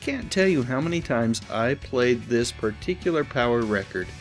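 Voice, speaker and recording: Music plays in the background as a man with a medium pitch speaks at a moderate pace with lively intonation. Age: old. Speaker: nostalgia video host. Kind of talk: casual nostalgic talk to camera. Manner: enthusiastic.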